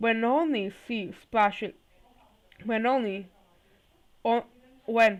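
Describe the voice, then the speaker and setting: Shaky and fairly high in pitch, a woman speaks with ordinary pitch variation. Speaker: YouTuber reading fanfiction aloud. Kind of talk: reading aloud. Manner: halting, self-correcting.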